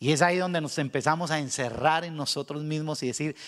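Over a very clean recording and silent background, a man uses a normal speaking voice with ordinary pitch variation. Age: 50s. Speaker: pastor. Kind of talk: sermon.

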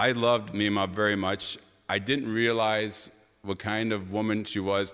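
A fairly low-pitched man talks in a monotone, flat intonation with a bright, sharp tone. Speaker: storyteller. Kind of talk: personal storytelling, family history. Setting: stage with audience. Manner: deliberate, sometimes hesitant.

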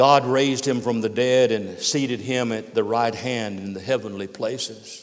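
The voice is a natural reading voice. Its pitch varies in an ordinary way.

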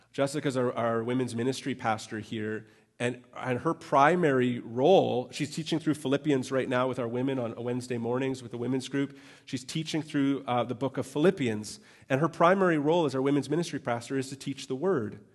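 In a Canadian accent, a man with a medium pitch speaks at a fairly quick pace in an animated tone, with ordinary pitch variation, against a quiet background. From Canada. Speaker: pastor. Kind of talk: sermon. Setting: church.

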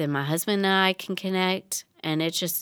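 A woman speaks with a Southern US accent at a moderate pace and fairly even intonation. The recording is very clean, with a silent background. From Tennessee. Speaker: children's ministry director. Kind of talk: casual chat.

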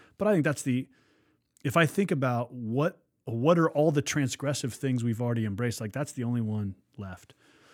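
At a fairly quick pace, a man with a plain, everyday voice talks at a medium pitch with ordinary pitch variation. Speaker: pastor. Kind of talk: podcast interview.

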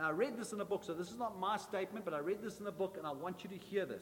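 A man talks at a high pitch in a warm tone with fairly even intonation but big swings in loudness. He goes at a very fast pace with hardly any pauses over noticeable background noise. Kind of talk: sermon. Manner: emphatic, repetitive preacher cadence, building with triple repetition; warm, exhorting, direct address to congregation.

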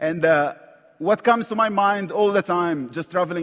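A man with an Egyptian accent and a high pitch speaks at a fairly slow pace with lively intonation. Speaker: visiting preacher. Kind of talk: sermon. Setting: church.

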